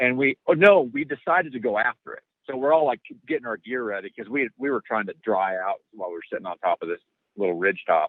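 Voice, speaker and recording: A man talks at a very fast pace. His pitch swings very widely, and his loudness shifts a lot. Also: medium pitch for a man. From rural Alaska (Denali Park). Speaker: outdoor gear company executive, hunting podcast guest. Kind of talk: casual chat, storytelling.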